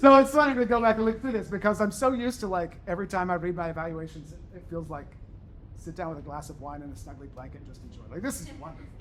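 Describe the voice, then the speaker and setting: A high-pitched man talks very fast, his animated tone and lively intonation joined by big swings in loudness. Audible room echo can be heard. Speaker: university professor. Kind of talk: lecture.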